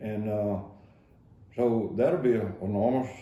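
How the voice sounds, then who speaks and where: In an East Texas accent, a man talks at a fairly low pitch. Noticeable background noise and audible room echo fill the recording. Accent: East Texas Southern drawl. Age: 70s. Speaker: county judge. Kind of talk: radio interview. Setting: radio studio. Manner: halting, many fillers.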